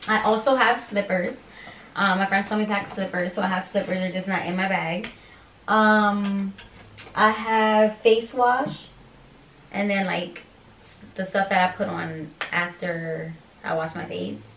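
A woman with an American accent speaks in a medium pitch at a fairly slow pace, with fairly even intonation and long, frequent pauses, over light background noise and audible room echo. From Pennsylvania. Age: 20s. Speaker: YouTuber, expectant mother. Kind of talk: casual vlog. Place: home room. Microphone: camera far.

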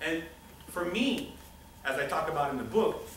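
Audible room echo and light background noise behind a man's voice. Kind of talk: lecture. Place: classroom. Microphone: camera far.

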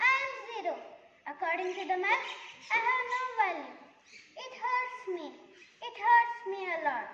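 A woman's put-on character voice, extremely high, with lively intonation, big swings in loudness, a fairly slow pace, long, frequent pauses and slight echo.

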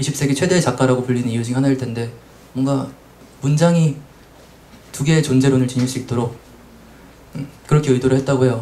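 A man talking at a fairly quick clip. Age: young. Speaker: translator. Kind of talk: panel discussion. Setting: live event with audience. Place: shop. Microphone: handheld.

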